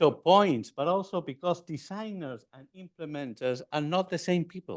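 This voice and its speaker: A man with an Argentine accent is heard against a quiet background. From Argentina. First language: Spanish. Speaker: physician and former health minister. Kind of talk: conference lecture. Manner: halting.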